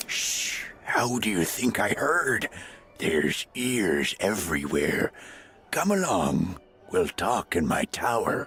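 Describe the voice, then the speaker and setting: A put-on character voice at a fairly slow pace, very wide pitch swings over very even loudness. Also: man, medium pitch for a man. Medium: video game. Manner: hushed, coaxing.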